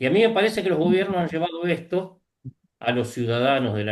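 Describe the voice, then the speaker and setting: The man's voice sits at a fairly high pitch and swings very widely. He talks at a moderate pace. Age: 60s. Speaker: panelist. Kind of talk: casual chat.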